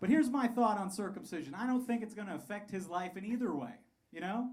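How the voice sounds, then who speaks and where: The speech moves at a very fast pace. Room echo is audible. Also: man. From Colorado (Pueblo). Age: 30s. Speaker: stand-up comedian. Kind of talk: stand-up. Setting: stage with audience.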